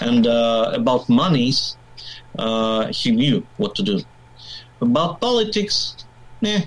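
Speaking with a Russian accent, a man uses a medium pitch with very wide pitch swings. His pace is very slow, with long, frequent pauses. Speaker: biker, media worker. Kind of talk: casual interview. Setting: video call.

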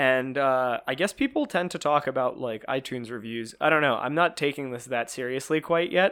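Over a silent background in a very clean recording, a man at a medium pitch talks at a fairly quick pace with ordinary pitch variation and hardly any pauses. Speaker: podcast co-host. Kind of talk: casual chat. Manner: halting, many fillers.

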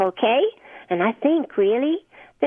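Simple, plain reading aloud

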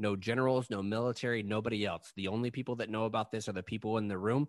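Pitch varies in an ordinary way. The background is quiet. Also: man. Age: 30s. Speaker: podcast host. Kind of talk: casual chat.

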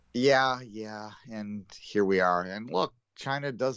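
With a Canadian accent, a man speaks in an ordinary speaking voice, his fairly low pitch moving with ordinary variation. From Canada. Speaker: sports podcast co-host. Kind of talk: casual chat.

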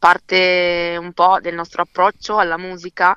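A woman with a bright, sharp tone and a fairly low pitch speaks at a fairly slow pace, with a dry, close sound with no echo and a quiet background. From Verona, Italy. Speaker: singer-songwriter. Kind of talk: interview. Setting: phone call. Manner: halting.

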